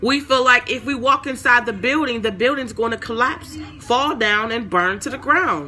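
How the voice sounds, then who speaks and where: Noticeable background noise sits behind a woman with a high pitch. Her tone is animated, and she barely pauses. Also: ordinary pitch variation, moderate pace. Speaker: online Bible teacher. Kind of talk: livestream Bible talk.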